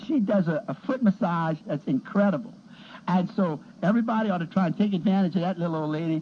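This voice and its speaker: A very fast pace over noticeable background noise. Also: man. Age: 60s. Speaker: pharmacist. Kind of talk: casual chat.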